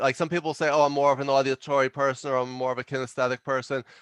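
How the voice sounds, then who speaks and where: A man with a New York accent talking at a very fast pace, the sound dry and close with no echo over a quiet background. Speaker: leadership consultant and author. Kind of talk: podcast interview.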